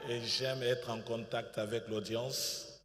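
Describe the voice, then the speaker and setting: A man's somewhat breathy, medium-pitched voice with fairly even intonation. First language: bilingual French and English (speaking French). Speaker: pastor. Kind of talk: sermon. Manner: hesitant, many fillers.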